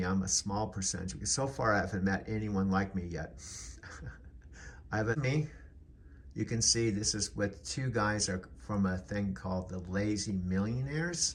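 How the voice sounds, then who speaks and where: At a moderate pace, a man with a fairly low pitch talks in a somewhat breathy voice. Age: 70s. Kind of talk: personal video journal talk to camera. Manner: casual, reflective.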